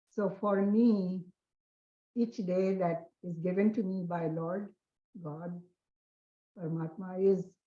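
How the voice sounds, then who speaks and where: A woman with a dark, mellow tone and a somewhat breathy medium-pitched voice speaks very slowly with fairly even intonation and long, frequent pauses. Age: 80s+. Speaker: meditation group participant. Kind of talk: sharing in online group.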